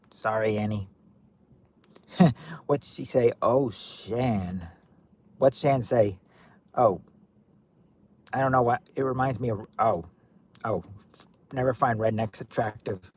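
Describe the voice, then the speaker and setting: Pausing long and often, a man with an American accent speaks at a very slow pace and medium pitch with ordinary pitch variation. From US South, Kentucky near Tennessee border. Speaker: livestream game host. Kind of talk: casual livestream chat. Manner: halting, self-correcting.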